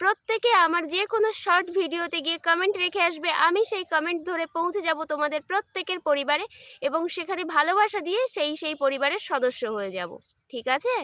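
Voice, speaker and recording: Raised and projected, a woman's extremely high voice has a bright, sharp tone and ordinary pitch variation, with a dry, close sound and no echo. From West Bengal, India. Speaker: live-stream content creator. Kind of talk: casual livestream chat with viewers. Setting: outdoors in a garden.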